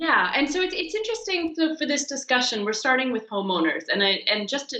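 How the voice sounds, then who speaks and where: A woman races along at a very fast pace, her pitch swinging very widely, as noticeable background noise plays. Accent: American. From US, Pennsylvania. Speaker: geography professor. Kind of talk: interview.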